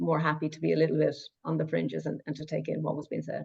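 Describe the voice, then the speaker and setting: A woman talks very fast with a Cork accent. Her pitch is very deep and low. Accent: Cork Irish. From Ireland, Cork. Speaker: past course participant. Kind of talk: testimony. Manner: halting, many repetitions.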